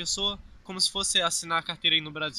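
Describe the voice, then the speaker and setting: With a bright, sharp tone and fairly even intonation, a man talks at a very fast pace in a high pitch. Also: dry sound with no echo. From Brazil. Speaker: YouTuber, immigrant hotel worker; YouTuber. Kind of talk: casual vlog chat. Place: open country. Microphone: phone near.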